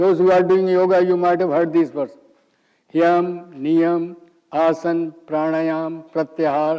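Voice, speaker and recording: A high-pitched man speaks with monotone, flat intonation. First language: Hindi. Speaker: yoga teacher. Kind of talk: lecture.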